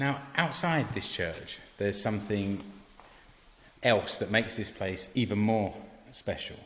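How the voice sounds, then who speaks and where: With long, frequent pauses, a man talks at a fairly low pitch with ordinary pitch variation. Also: fairly slow pace. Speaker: podcast host. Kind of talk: interview questions on location.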